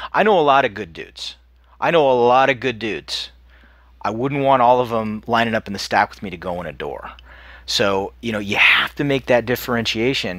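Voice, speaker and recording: An unremarkable speaking voice from a man at medium pitch, fairly quick pace, ordinary pitch variation and big swings in loudness, on a very clean recording with a silent background. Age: 50s. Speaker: podcast host, retired army doctor. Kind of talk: casual chat.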